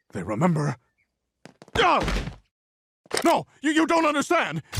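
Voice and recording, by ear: A man speaks in a cartoonish character voice. His pitch is extremely high, at a moderate pace.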